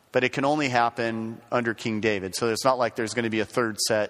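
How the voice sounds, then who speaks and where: A plain, everyday voice comes through with ordinary pitch variation. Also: man. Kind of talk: lecture. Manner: conversational, with fillers and repetitions.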